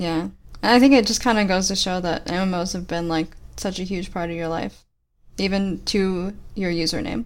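A woman speaks in a plain, everyday voice at medium pitch. Her pace is moderate and her pitch variation ordinary. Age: 20s. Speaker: gaming podcast co-host. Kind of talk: casual chat.

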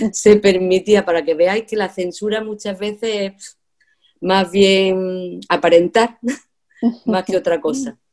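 Very slow speech from a woman at medium pitch, fairly even in intonation, with big swings in loudness. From Spain, Andalusia (Jaén). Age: 60s. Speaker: retired teacher. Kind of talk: casual chat.

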